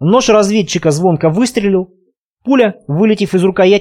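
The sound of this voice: Pitch moves in an ordinary way through an unforced reading voice. Behind it, all is quiet.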